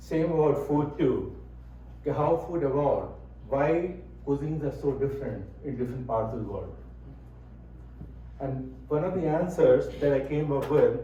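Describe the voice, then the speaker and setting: A man speaks at a moderate pace, and room echo can be heard around him. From India. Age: 70s. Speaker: speaker on Indian cuisine. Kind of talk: talk to an audience. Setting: room with audience, microphone. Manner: conversational.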